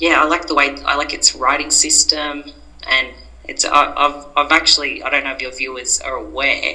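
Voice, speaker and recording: Noticeable background noise runs behind a speaker with an Australian accent. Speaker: podcast guest, Arabic learner. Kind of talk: casual interview chat. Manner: hesitant, many fillers.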